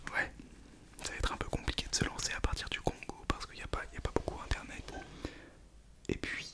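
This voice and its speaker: Noticeable background noise surrounds a man as he whispers. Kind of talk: ASMR video talk to camera. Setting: close to microphone, home setup. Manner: whispered; casual, joking.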